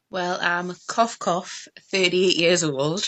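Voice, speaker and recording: A woman speaks with a Geordie accent at a fairly low pitch. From northeast England, Tyneside. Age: 30s. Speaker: mobile beauty business owner. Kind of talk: interview.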